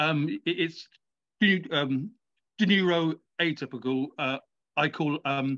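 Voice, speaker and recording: A man with a British accent speaks at a very slow pace, pausing long and often. His fairly high voice has a bright, sharp tone and ordinary pitch variation. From Britain. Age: 40s. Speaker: author. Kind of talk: interview. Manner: halting.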